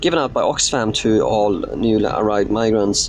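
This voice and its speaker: A man's voice amid noticeable background noise. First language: not English. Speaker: political vlogger. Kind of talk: live stream Q&A. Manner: halting, many fillers.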